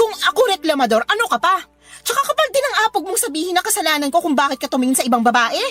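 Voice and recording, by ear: Faint music plays behind a woman using a put-on character voice with an extremely high pitch, big pitch swings, a fairly bright tone and a very fast pace.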